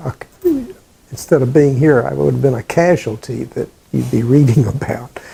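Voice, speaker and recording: A man with an American accent at a moderate pace, long, frequent pauses and noticeable background noise. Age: 80s+. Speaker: veteran. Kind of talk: oral history interview. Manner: halting.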